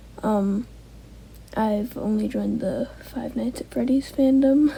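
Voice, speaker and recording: A woman talks fairly slowly while noticeable noise sounds in the background. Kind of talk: casual Q&A talk to camera.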